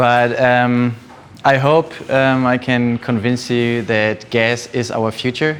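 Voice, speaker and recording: Here a man talks with a German accent at a very slow pace in a monotone, flat intonation. Background noise is noticeable. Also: medium pitch for a man. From Germany, Düsseldorf. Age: 20s. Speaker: energy economist. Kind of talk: talk to an audience. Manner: halting.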